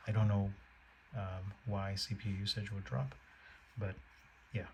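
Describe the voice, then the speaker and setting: A man is whispering at a moderate pace. Noticeable background noise is present. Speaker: tech reviewer. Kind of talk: product demo narration. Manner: halting.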